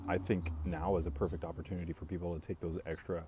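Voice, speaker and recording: A man speaks fairly quickly in a very deep, low voice with a dark, mellow tone. He sounds calm and somewhat breathy, with fairly even intonation. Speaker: coffee business owner and live streamer. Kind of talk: casual live-stream chat reading viewer comments. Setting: live video stream.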